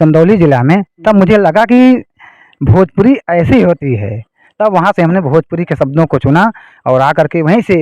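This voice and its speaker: A man's dark, mellow tone with lively intonation, in a dry, close sound with no echo. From Jaunpur, Uttar Pradesh, India. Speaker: songwriter and school math teacher. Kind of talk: interview answer.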